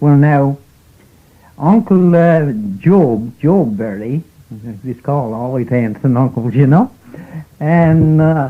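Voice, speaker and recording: In a Newfoundland accent, a man speaks at a very slow pace. His pitch is fairly high and his intonation lively. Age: 80s+. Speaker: fisherman. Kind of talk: interview answer.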